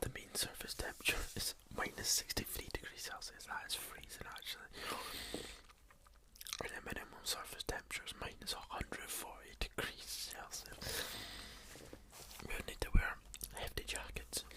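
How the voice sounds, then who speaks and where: Someone whispers at a moderate pace, with long, frequent pauses. Noticeable background noise sits under the voice. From Scotland. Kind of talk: ASMR video, casual talk to camera.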